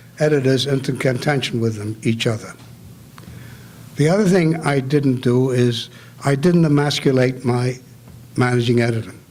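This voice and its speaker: Noticeable background noise sits behind a man with a fairly high pitch. He talks at a moderate pace with ordinary pitch variation. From New York City (Bronx), immigrant from Germany. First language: German. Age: 80s+. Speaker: retired newspaper editor. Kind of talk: Q&A after a talk.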